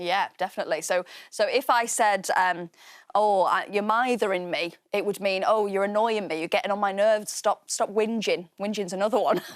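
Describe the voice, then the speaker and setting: A woman with a Mancunian accent, medium-pitched, at a moderate pace with fairly even intonation, on a very clean recording with a silent background. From Manchester, England. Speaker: children's TV presenter. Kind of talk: educational TV presenting.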